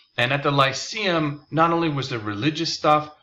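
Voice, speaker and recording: A man's voice with vocal fry. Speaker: philosophy teacher. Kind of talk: lecture. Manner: casual, with fillers.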